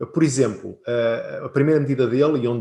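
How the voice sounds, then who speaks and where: The speaker talks at a moderate pace in a European Portuguese accent. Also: man. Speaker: business consultant. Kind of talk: webinar presentation.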